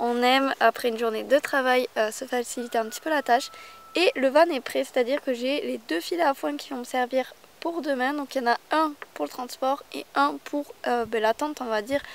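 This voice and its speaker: Against noticeable background noise, a woman talks at a moderate pace with a high pitch. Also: ordinary pitch variation. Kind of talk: casual vlog. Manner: hesitant with many fillers.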